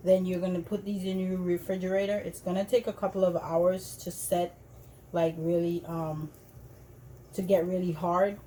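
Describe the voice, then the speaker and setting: A woman speaks with a Jamaican accent. Her pace is moderate. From Jamaica, Montego Bay. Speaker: cooking video host. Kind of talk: tutorial. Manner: casual, hesitant with fillers.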